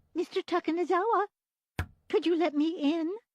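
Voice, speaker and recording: A woman puts on a squeaky character voice at an extremely high pitch, speaking at a moderate pace with fairly even intonation, the sound dry and close with no echo. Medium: fan dub. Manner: polite, fussy, old-fashioned.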